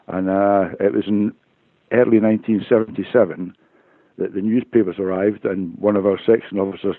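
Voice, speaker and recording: A man with a Glaswegian accent talks at a fairly quick pace. His pitch is fairly low and his intonation fairly even. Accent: Glaswegian Scottish. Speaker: retired police officer. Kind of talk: interview testimony. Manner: halting, repeats words.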